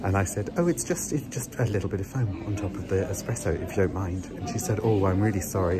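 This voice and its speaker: Over loud music in the background, a man talks at a fairly quick pace with ordinary pitch variation. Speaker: entertainer vlogger. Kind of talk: casual vlog rant. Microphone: phone near.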